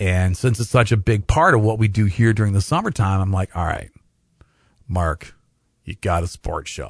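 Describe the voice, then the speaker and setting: Against a quiet background, a man with a Midwestern US accent talks at a moderate pace in an energetic tone, sounding somewhat breathy. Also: ordinary pitch variation. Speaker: radio sports talk host. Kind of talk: live sports talk radio show. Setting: studio. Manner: casual, conversational, energetic.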